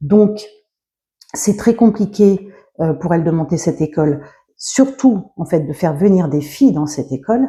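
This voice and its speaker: Her fairly low pitch comes with a dark, mellow tone and a somewhat breathy quality, and her intonation is lively. This woman speaks at a moderate pace with long, frequent pauses. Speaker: book reviewer / video blogger. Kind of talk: casual book review monologue. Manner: halting, many fillers and self-corrections.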